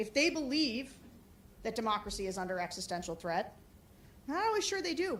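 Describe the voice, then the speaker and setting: A woman with a fairly high voice is heard with audible room echo. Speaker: political operative. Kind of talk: conference talk and Q&A. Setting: conference room with audience. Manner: loud.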